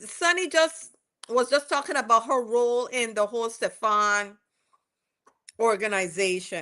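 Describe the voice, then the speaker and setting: Against a quiet background, a woman in a West Indian accent speaks very slowly in a high, bright, sharp voice with very wide pitch swings. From West Indies. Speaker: commentator recapping a court trial. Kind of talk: casual commentary.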